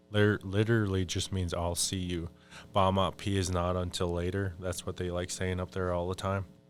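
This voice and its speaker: A man with an American accent speaks in a very deep, low pitch at a moderate pace. His intonation is monotone and flat, with music in the background. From Minnesota, Fond du Lac reservation. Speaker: Ojibwe spiritual advisor. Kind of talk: podcast interview. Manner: casual, conversational.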